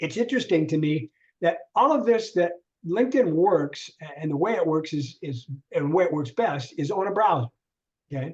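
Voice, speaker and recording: With lively intonation, a man talks at a high pitch. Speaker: LinkedIn trainer. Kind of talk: online workshop. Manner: fast.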